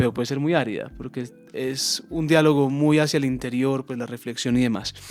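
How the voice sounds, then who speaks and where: With music in the background, a man of medium pitch speaks at a fairly quick pace with fairly even intonation. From Colombia, Antioquia (Envigado). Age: 20s. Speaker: philosopher and peacebuilding educator. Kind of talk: interview conversation.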